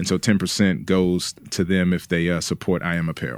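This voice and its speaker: In a very clean recording with a silent background, a man speaks at a fairly quick pace. His pitch is very deep and low. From Washington, D.C. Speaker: pastor and author. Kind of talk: interview conversation.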